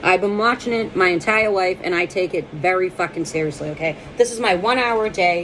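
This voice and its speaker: Talking fairly quickly with hardly any pauses, a woman with an American accent has a medium pitch and ordinary pitch variation. Noticeable background noise is present. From Boston. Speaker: comedian. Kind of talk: casual monologue to camera. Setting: at home. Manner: jumpy, energetic.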